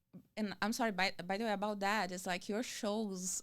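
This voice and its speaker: A woman with a Brazilian accent speaks at a medium pitch on a very clean recording with a silent background. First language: Portuguese. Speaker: comedian and actress. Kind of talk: interview answer.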